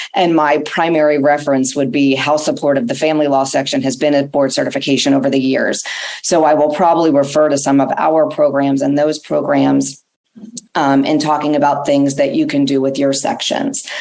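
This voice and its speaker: Fairly quick, flat monotone delivery at a very even volume, with audible room echo. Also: woman, very deep, low pitch for a woman. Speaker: family law attorney and board chair. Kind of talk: conference presentation.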